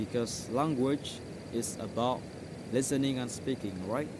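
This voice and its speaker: A man in an Indonesian accent speaks at a medium pitch and a moderate pace with ordinary pitch variation, with audible room echo. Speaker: English tutor. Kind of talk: tutorial. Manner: halting.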